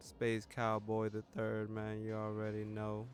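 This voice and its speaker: A man's fairly low-pitched voice. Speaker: gaming YouTuber. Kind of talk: gameplay commentary. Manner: casual slangy.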